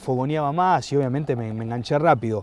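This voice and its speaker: At a moderate pace, a man with a fairly high pitch speaks in a dry sound with no echo. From Buenos Aires, Argentina; Argentina. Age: 40s. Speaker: sports journalist. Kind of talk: casual chat. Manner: halting, frequent repetitions. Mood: warm, nostalgic. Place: garden. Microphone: lapel.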